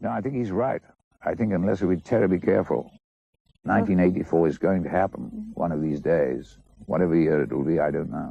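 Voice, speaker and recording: With vocal fry and lively intonation, a man speaks fairly quickly in a very deep, low pitch. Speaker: actor. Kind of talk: interview answer. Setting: television studio.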